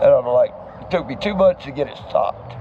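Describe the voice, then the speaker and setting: Noticeable background noise runs behind this recording. A man speaks at a moderate pace. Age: 60s. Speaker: homeless veteran. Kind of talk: street interview.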